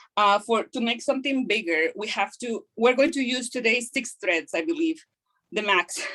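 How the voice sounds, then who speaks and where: With lively intonation, a woman talks at a high pitch in a bright, sharp tone. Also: moderate pace. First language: Kaqchikel (then Spanish). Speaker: craft instructor. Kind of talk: online craft class tutorial. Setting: video call. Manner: halting, many fillers.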